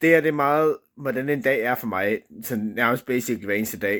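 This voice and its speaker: Speaking at medium pitch with vocal fry, a man swings his pitch very widely. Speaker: vlogger. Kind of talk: casual vlog monologue. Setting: at home, own room. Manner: hesitant, many fillers.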